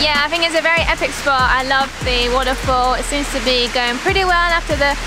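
Music runs in the background. A woman talks very fast over it. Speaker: travel vlogger. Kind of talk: casual vlog chat. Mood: excited, delighted. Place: waterside.

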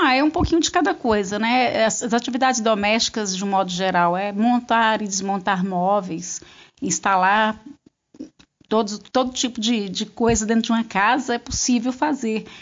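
With an unremarkable speaking voice, a woman talks at a moderate pace, her fairly high pitch showing ordinary variation. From Brazil, northern interior of Goiás. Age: 50s. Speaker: handywoman. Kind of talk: interview.

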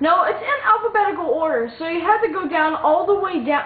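Over noticeable background noise, a woman talks at a fairly quick pace with an extremely high pitch and very wide pitch swings. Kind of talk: casual video game commentary.

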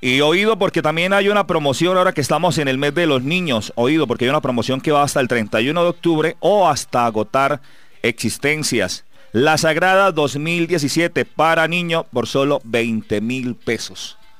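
A man with a plain, everyday voice, fairly high pitch, lively intonation, and moderate pace, in dry sound with no echo. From Colombia, Antioquia. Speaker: radio sports show host. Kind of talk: sports radio talk show. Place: studio.

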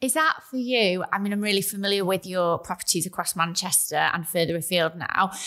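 Against a quiet background, a woman with a bright, sharp tone talks at a fairly quick pace with hardly any pauses and ordinary pitch variation. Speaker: podcast host and events entrepreneur; podcast host. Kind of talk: interview conversation. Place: studio. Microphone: studio mic.

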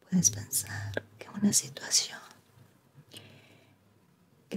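A woman is speaking. She whispers. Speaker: relaxation video host. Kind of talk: soft-spoken ASMR personal attention. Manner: soft, hushed bedtime ASMR voice.

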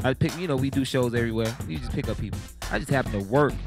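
A man's voice with ordinary pitch variation, dry and echo-free, over clear background music. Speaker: show host. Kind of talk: casual host intro. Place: studio. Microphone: handheld.

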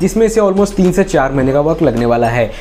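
Lively intonation from a man, with music behind him. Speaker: review channel host. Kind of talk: casual vlog commentary. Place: home room.

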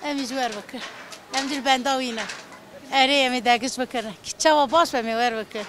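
Fairly even intonation, big swings in loudness, a dry sound with no echo, and noticeable background noise. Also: woman, high pitch for a woman, moderate pace. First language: Kurdish (speaking Turkish). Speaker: voter in street interview. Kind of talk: street interview. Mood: cheerful, smiling. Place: street. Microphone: handheld.

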